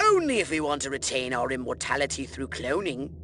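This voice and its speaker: A put-on character voice is heard over clear background noise. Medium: video game. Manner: pompous, condescending.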